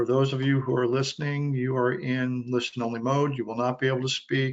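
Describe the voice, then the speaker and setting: A man with a medium pitch talks at a fairly quick pace in a flat monotone. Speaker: association executive director hosting webinar. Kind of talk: webinar introduction. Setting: webinar call. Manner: soft-spoken.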